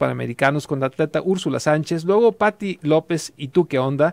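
Over a quiet background, a man with a fairly high voice speaks at a fairly quick pace in a dry sound with no echo. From Jalisco, Mexico. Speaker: radio host. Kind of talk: radio interview. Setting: studio. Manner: halting. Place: studio. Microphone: studio mic.

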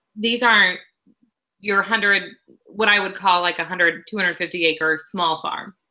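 Very slow, fairly even speech in an American accent over a quiet background. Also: woman, medium pitch for a woman. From Illinois, US Midwest. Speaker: agricultural news reporter. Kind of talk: interview. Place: home room. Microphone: video call.

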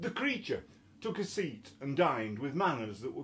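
A man with a Yorkshire accent at a moderate pace, his pitch swinging very widely, with light background noise. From Yorkshire, England. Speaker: poet. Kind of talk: poetry reading. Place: home room. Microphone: webcam.

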